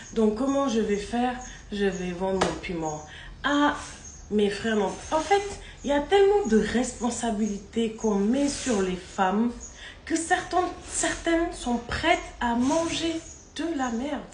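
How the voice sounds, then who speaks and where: Speaking at a high pitch with very wide pitch swings, a woman goes at a very slow pace with long, frequent pauses, amid audible room echo and noticeable background noise. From Maghreb. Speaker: social media personality. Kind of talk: vlog monologue. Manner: speaking louder than usual; animated.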